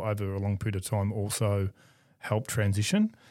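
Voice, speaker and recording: In an Australian accent, a man speaks at a fairly quick pace with a fairly low pitch and a dark, mellow tone. His intonation stays monotone and flat. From Melbourne, Australia. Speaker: events executive. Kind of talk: interview. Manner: measured.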